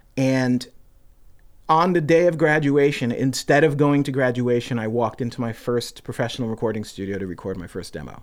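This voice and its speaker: With an American accent, a man with an ordinary speaking voice talks at a medium pitch and a moderate pace with lively intonation, on a very clean recording with a silent background. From New York, Queens. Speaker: rock singer and music producer. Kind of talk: casual interview chat.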